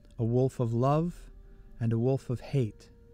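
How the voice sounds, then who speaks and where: Music plays behind a man speaking at a fairly slow pace. His pitch sits in the medium range. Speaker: audiobook narrator, voice actor. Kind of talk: nonfiction self-help audiobook narration.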